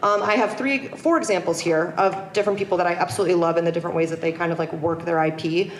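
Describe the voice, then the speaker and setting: Noticeable background noise and audible room echo accompany a woman talking very fast at a medium pitch. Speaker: screenwriter and content creator. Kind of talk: conference talk. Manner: casual, filler-heavy.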